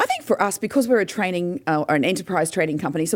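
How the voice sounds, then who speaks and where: A woman with an Australian accent, very fast in pace and lively in intonation. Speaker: business owner and motivational speaker. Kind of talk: radio interview.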